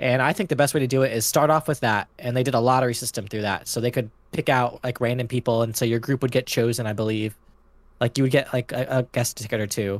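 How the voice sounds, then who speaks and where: A man with an American accent talks at a very fast pace in a medium pitch, with fairly even intonation, on a very clean recording with a silent background. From Los Angeles, California. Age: 20s. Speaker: podcast guest, roller coaster enthusiast. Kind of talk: casual chat.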